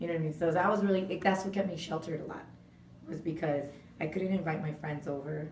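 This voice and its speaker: Very fast speech with audible room echo and noticeable background noise. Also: woman, fairly low pitch for a woman. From Southern California, Orange County (Laguna Hills). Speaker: radio host. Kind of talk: interview. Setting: radio studio. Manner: casual, animated.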